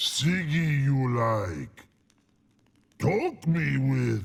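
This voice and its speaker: A put-on character voice from a man, pitched medium. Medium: video game. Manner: broken speech, slow, simple.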